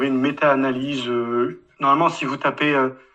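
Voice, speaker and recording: Here is a man talking at a fairly high pitch. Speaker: atheist commenter. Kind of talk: closing statement.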